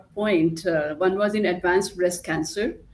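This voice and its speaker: A woman speaks in an Indian accent at medium pitch. Her intonation stays fairly even. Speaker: pharmaceutical clinical development head. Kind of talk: panel discussion.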